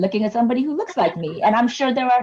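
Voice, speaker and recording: A woman speaks at a very fast pace with lively intonation. Her tone is dark and mellow, and somewhat breathy. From immigrant, moved to US at age nine. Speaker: nonprofit community advocate leader. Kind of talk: interview.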